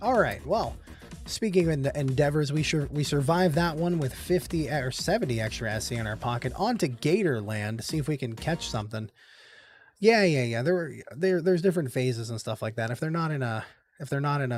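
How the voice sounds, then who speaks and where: Over a silent background on a very clean recording, a man talks at a very fast pace in a somewhat breathy voice with lively intonation. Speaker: slots streamer. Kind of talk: live stream commentary. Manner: stutters, repeats words.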